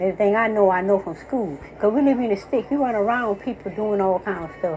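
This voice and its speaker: A woman rattles off her words very fast at a medium pitch, with noticeable background noise behind her. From US South. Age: 60s. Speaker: commentator. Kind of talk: casual chat. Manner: animated.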